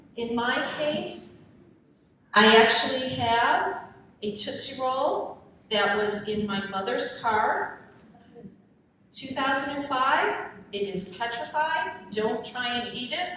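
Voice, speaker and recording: Talking at a very slow pace and a fairly high pitch, a woman shows ordinary pitch variation and big swings in loudness, with noticeable background noise and audible room echo. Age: 60s. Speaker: professional organizer. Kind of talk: conference presentation.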